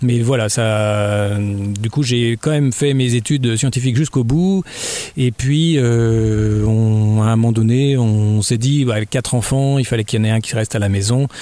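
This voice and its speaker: This man speaks fairly slowly in a medium pitch with ordinary pitch variation. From Burgundy, France (Dijon). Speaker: novelist and children's author. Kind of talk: radio interview. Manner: hesitant, many fillers.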